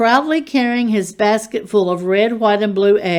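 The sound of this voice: The voice reads in an unforced way. Its pitch varies in an ordinary way.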